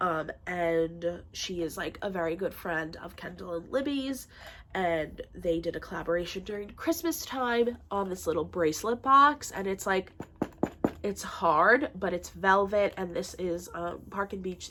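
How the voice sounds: At a fairly slow pace, a woman speaks with a fairly low, nasal voice, a fairly bright tone and ordinary pitch variation.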